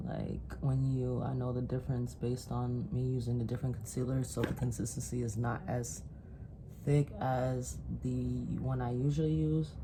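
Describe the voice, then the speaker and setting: Audible room echo and noticeable background noise around a woman speaking at a moderate pace. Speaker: makeup artist. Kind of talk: tutorial.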